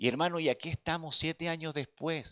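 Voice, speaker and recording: The background stays quiet while a man talks. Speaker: preacher. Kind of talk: sermon. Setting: church. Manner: earnest, pastoral, direct appeals to the congregation; repetitive, stumbling starts with filler words. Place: church. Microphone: handheld.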